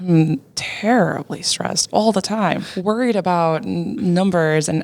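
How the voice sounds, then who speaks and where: This voice has a Portuguese accent on a very clean recording with a silent background. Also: woman. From Portugal. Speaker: YouTuber and web3 marketer. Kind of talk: casual interview chat. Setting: hacker house with people in background.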